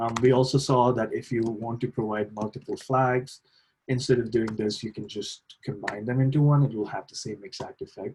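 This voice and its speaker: A somewhat breathy voice moves at a moderate pace, with big swings in loudness and fairly even intonation. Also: man, medium pitch for a man. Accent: non-native. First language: not English. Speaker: lab trainer. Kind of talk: tutorial. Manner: hesitant, many fillers.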